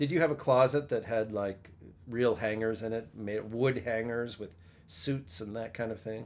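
A man's plain, everyday voice at medium pitch, ordinary pitch variation, moderate pace, and an American accent. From US, western Pennsylvania. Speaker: podcast host and performer. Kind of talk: casual chat. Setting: home studio.

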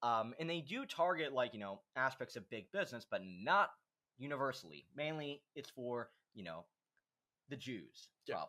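A man speaks at a moderate pace in a medium pitch, his tone bright and sharp. His intonation is lively, and the recording is very clean with a silent background. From United States. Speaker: podcast host. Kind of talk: casual chat.

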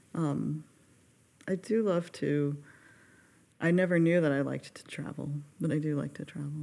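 Speaking at a moderate pace in an American accent, the voice keeps fairly even intonation, leaves long, frequent pauses and swings widely in loudness. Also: woman, very deep, low pitch for a woman. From Carson, California. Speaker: pianist and accompanist. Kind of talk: casual podcast interview.

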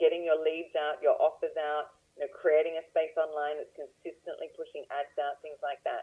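The voice has an Australian accent and a moderate pace with hardly any pauses. Its loudness swings widely. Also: woman. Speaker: real estate investor. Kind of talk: interview. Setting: phone call.

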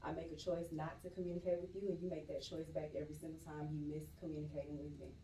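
Animated and very fast, the speech carries audible room echo over noticeable background noise. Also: woman. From Atlanta, Georgia (Stone Mountain). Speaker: poet. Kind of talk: casual chat.

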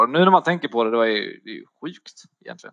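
In a normal speaking voice, a man talks at a fairly quick pace and medium pitch, with a dry, close sound with no echo and a quiet background. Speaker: personal trainer sharing eating disorder story. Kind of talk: interview, personal testimony. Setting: online call.

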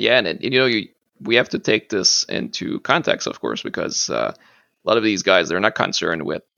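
A man is talking at a moderate pace. He has a Quebec accent. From Quebec, eastern Appalachian small town. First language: French. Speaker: museum collections manager and martial arts practitioner. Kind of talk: interview. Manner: halting, many fillers.

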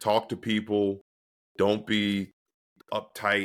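This is a man speaking. His pitch is fairly low. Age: 20s. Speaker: former pro football player. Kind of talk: casual chat.

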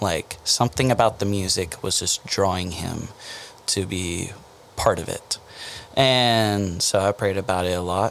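This man has an American accent and a plain, everyday voice. He talks at a fairly slow pace, with fairly low pitch and fairly even intonation. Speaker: band lead singer. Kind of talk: casual interview. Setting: podcast studio.

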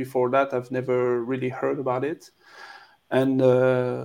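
The tone is dark and mellow. The speaker has a French accent. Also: man. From France. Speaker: documentary filmmaker. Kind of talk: interview. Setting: video call.

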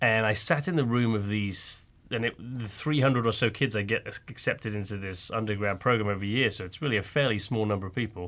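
At a very fast pace with hardly any pauses, a man speaks at medium pitch with ordinary pitch variation. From England. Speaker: entrepreneur. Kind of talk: casual interview chat. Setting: studio.

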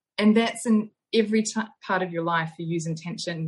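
Speaking fairly quickly with a New Zealand accent, a woman has a somewhat breathy, medium-pitched voice and ordinary pitch variation. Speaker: osteopath and yoga instructor. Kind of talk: interview. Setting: online call.

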